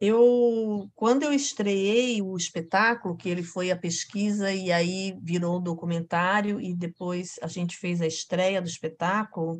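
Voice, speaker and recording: Against a quiet background, a woman at a medium pitch talks at a fairly slow pace with hardly any pauses and ordinary pitch variation. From Florianópolis island, Santa Catarina, Brazil. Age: 50s. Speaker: actress and clown. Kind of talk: casual interview chat.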